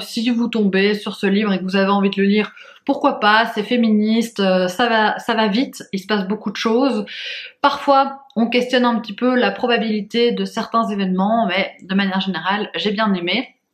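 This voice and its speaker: Here a woman's voice sits at a fairly high pitch. She keeps a moderate pace and fairly even intonation. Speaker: book vlogger. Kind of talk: casual vlog. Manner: hesitant, many fillers.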